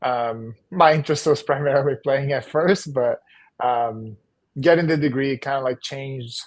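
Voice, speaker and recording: A man speaks in a Portuguese accent with a fairly high pitch. His pace is moderate and the background is quiet. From northeastern Brazil, Maceió. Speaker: volleyball coach and former pro player. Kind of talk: podcast interview.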